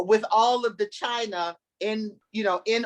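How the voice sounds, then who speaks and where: A woman's unremarkable speaking voice, medium in pitch, with an American accent and a fairly slow pace. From Cincinnati, Ohio. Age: 60s. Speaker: community elder. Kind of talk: storytelling in a panel chat.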